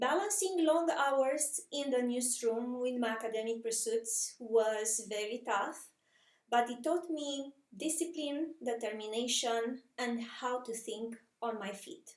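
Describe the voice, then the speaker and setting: Speaking at a very slow pace, a woman with a Romanian accent has a high pitch and ordinary pitch variation. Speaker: communications professional. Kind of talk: personal story narration.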